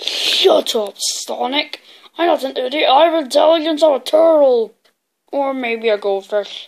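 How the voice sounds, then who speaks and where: A woman's high-pitched, put-on character voice. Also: moderate pace. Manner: angry, shouting, boastful.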